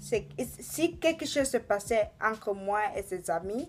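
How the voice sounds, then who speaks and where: A woman with a fairly high pitch speaks very slowly over music in the background. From Tanzania. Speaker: vlogger. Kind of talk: personal vlog storytelling. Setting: bedroom. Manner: halting.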